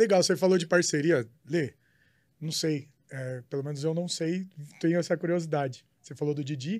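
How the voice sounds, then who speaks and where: A man talks at a moderate pace in a plain, everyday voice, fairly high in pitch with ordinary pitch variation. The recording is very clean, its background silent. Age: 30s. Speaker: podcast co-host. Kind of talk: casual chat.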